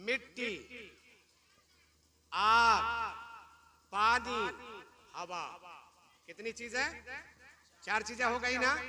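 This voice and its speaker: A man speaks in an animated tone with a raised, projected voice at an extremely high pitch. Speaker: Islamic preacher giving a sermon. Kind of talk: religious sermon (bayan) to a live audience. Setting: live event or gathering with an audience. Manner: animated, rhetorical, asks the audience questions and calls for replies.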